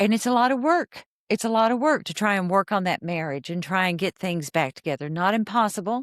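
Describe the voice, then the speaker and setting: An unremarkable speaking voice from a woman with an American accent, lively intonation and a moderate pace, on a very clean recording with a silent background. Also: dry, close sound with no echo. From Texas, Fort Worth. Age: 60s. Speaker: therapist. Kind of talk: podcast interview.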